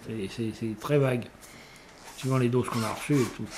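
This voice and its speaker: The speaker is a man with a medium pitch. He keeps his intonation fairly even. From western France, Vendée bocage (Bressuire). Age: 60s. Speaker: retired navy radiobiologist, nuclear test veteran. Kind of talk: testimony. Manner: halting, many hesitations and repetitions.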